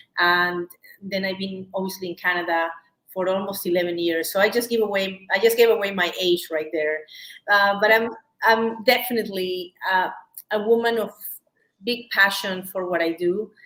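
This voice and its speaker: Bright and sharp in tone, a woman speaks with a Peruvian accent at a medium pitch. Her pace is moderate and her intonation fairly even. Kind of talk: live shopping show interview. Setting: live stream.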